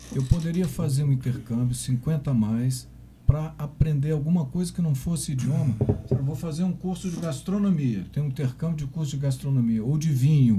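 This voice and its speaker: At a moderate pace, a man talks with a fairly high pitch and ordinary pitch variation. He has a normal speaking voice. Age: 60s. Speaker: podcast host. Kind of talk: interview.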